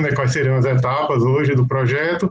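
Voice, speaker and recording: Speaking at a moderate pace, a man uses a medium pitch. His intonation is monotone and flat. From Brazil, Pernambuco. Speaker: public auditor, court of accounts official. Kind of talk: opening speech at online launch event. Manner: hesitant, filler-heavy.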